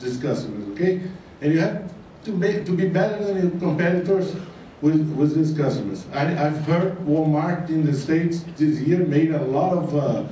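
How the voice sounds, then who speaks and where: A man's fairly high voice at a moderate pace, with audible room echo and noticeable background noise. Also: ordinary pitch variation. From Brazil. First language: Portuguese. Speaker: business consultant speaker. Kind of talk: conference talk. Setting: stage with audience. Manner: hesitant, many fillers.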